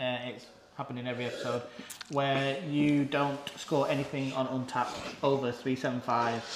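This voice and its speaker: A man speaks at a moderate pace in a medium pitch with flat, monotone intonation, with noticeable background noise and audible room echo. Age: 30s. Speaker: podcast host. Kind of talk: casual chat.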